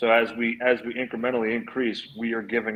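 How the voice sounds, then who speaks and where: Speaking at a fairly quick pace, a man with a Philadelphia accent talks at a medium pitch. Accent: Philly Northeastern. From Philadelphia, US Northeast. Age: 30s. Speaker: NFT project founder. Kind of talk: casual podcast chat.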